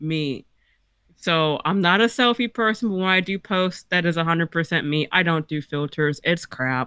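In a normal speaking voice, a woman talks at a moderate pace and fairly low pitch with ordinary pitch variation, the sound dry and close with no echo on a very clean recording with a silent background. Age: 40s. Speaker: author. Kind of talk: casual chat.

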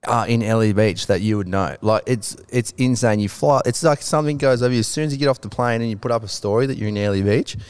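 In an Australian accent, a man talks at a very fast pace with hardly any pauses, his medium pitch showing ordinary variation, in a very clean recording with a silent background. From New South Wales, Australia. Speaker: filmmaker and photographer. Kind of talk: casual chat. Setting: studio.

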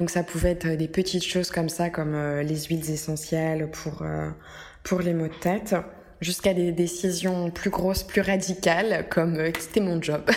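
Over noticeable background noise, a woman talks at a fairly slow pace in a fairly low pitch, her intonation monotone and flat. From France. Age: 20s. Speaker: wellness podcaster. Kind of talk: solo podcast monologue. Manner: hesitant, many fillers.

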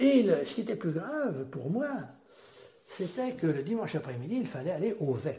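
A man's dark, mellow voice sits at a high pitch with very wide pitch swings. He keeps a moderate pace amid audible room echo. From western France, Châteaubriant area. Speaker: grandfather telling life story, Algerian war veteran. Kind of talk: life-story interview.

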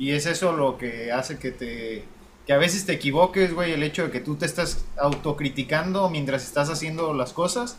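Speaking at a moderate pace, a man with a fairly high pitch uses a plain, everyday voice with ordinary pitch variation. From Mexico, Apatzingán, Michoacán. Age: young. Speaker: podcast co-host. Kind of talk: casual chat.

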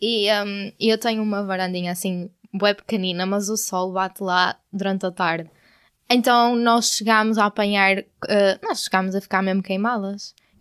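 A woman with a European Portuguese accent speaks at a moderate pace and medium pitch in monotone, flat intonation, on a very clean recording with a silent background. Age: 20s. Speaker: podcast co-host, university student. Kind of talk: casual chat. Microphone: new microphone.

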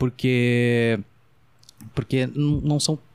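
A man with an unremarkable speaking voice, medium pitch and ordinary pitch variation, in a dry, close sound with no echo on a very clean recording with a silent background. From Brazil, Rio Grande do Sul (Dom Pedrito). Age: 20s. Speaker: podcast host, amateur comedian. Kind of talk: casual interview chat.

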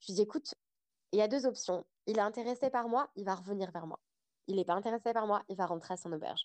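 A woman talks at a very fast pace in a medium pitch. Her ordinary pitch variation comes through a dry, close sound with no echo. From France. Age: 30s. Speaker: podcaster. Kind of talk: casual interview.

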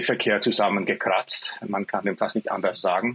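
A man with a Swiss German accent. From Switzerland. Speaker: software developer, physicist. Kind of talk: interview. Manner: halting, with repetitions.

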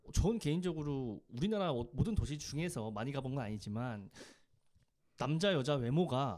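On a very clean recording with a silent background, a man's fairly high voice moves through very wide pitch swings. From Korea, Daejeon. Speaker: podcast co-host. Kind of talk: casual chat.

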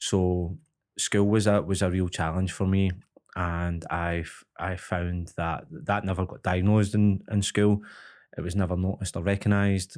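In a Glaswegian accent, a man speaks at a very deep, low pitch and a moderate pace with fairly even intonation. The recording is very clean, with a silent background. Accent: Glaswegian Scottish. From Glasgow, Scotland. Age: 30s. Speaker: MMA fighter and coach. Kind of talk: casual interview chat. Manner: halting, many repetitions.

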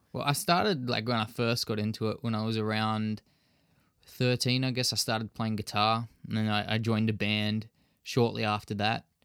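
A man speaks at a medium pitch with an Australian accent and monotone, flat intonation. The recording is very clean, with a silent background. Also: moderate pace. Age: 20s. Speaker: fitness enthusiast and MMA trainee. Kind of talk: casual interview.

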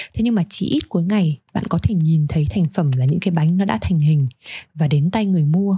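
Speaking at a fairly quick pace in a Hanoi accent, a woman has a dark, mellow tone, fairly low pitch, lively intonation, a somewhat breathy quality and very even loudness. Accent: Hanoi Vietnamese. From Hanoi, northern Vietnam. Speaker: podcast host. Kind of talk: scripted narration.

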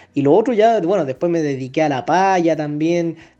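Dark, mellow tone from a man, at a moderate pace with ordinary pitch variation. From central Chile, San Fernando, Colchagua. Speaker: folk singer and guitarist. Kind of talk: interview.

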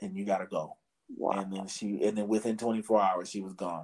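This man's voice sits fairly low, moving at a moderate pace with monotone, flat intonation. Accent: American. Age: 30s. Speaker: podcaster. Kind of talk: casual chat.

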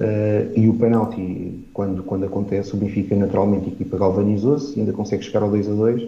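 Amid audible room echo, a man with a fairly low pitch rushes along at a very fast pace with hardly any pauses and fairly even intonation. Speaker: football commentator. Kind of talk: casual chat. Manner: hesitant, many filler sounds.

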